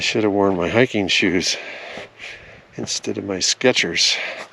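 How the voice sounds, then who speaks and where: A man speaks at a fairly slow pace with a fairly low pitch. Noticeable background noise runs through the clip. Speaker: RV travel vlogger. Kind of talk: hiking vlog narration. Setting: outdoors on a hiking trail. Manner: casual, conversational; speaking quietly.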